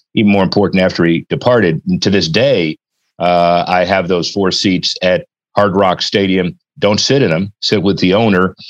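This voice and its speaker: Very deep and low, a man's voice carries an American accent with ordinary pitch variation and very even loudness. The sound is dry and close, without echo. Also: moderate pace. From Miami, Florida. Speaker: sports business attorney and consultant. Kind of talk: interview.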